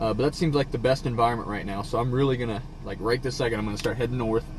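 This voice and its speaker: A man with an American accent talks very fast at a medium pitch over noticeable background noise. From southern Iowa, USA. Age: young. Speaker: storm chaser. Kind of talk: casual live-stream commentary while driving.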